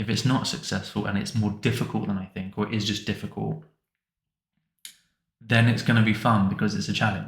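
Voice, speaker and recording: A man talks at a fairly quick pace with a fairly low pitch and vocal fry. His intonation is fairly even, broken by long, frequent pauses. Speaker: hobbyist game developer. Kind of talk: casual vlog talk to camera. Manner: mumbling, not clearly articulated; hesitant, with fillers and repeats.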